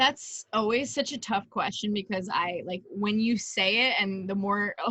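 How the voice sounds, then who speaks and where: With a Long Island accent, a woman at medium pitch speaks fairly slowly in a bright, sharp tone with ordinary pitch variation. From Long Island, New York. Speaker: lacrosse player. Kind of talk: interview. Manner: casual, many fillers.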